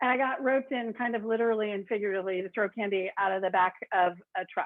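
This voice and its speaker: A woman talks in an American accent at a medium pitch. Her pace is very fast, with ordinary pitch variation. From rural Oregon, US. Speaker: consultant. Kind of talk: presentation. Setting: video call.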